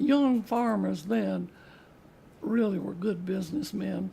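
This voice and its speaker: Background noise is clearly present. A woman talks rather slowly over it. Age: 80s+. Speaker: retired farm woman. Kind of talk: interview answer.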